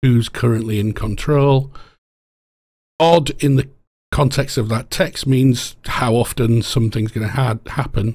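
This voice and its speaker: Somewhat breathy, a man speaks at a fairly slow pace with medium pitch and ordinary pitch variation. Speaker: game programmer. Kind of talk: tutorial lecture.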